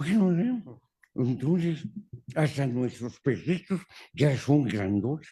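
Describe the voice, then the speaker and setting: Very slowly and with long, frequent pauses, a man speaks in a fairly high, somewhat breathy voice with a dark, mellow tone and very wide pitch swings. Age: 80s+. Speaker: law professor. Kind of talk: conversation with audience Q&A.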